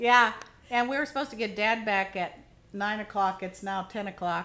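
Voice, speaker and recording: This woman has a fairly high pitch and ordinary pitch variation, speaking at a moderate pace. Noticeable background noise runs under her voice. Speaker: caretaker of aging parent. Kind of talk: casual interviewer behind camera.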